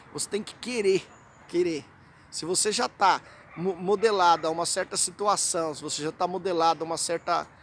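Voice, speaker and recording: At a moderate pace, a man with a Brazilian accent speaks in a high pitch, his intonation fairly even and his loudness swinging widely. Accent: Brazilian Portuguese accent, kept. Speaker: hypnotherapy and self-help vlogger. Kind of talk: informal educational vlog talk. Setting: outdoors in a city square. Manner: conversational, many fillers and repetitions.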